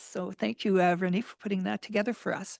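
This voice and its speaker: A woman speaks with vocal fry in a dry, close sound with no echo and a quiet background. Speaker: mayor chairing council meeting. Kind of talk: council meeting chairing.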